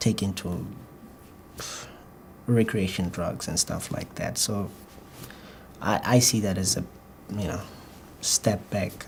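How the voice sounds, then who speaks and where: Speaking at a very slow pace with long, frequent pauses, a man uses a fairly low, somewhat breathy voice and fairly even intonation. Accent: slight Botswana. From Botswana. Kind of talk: exam interview answer. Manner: fluent but rather slow, occasional hesitation.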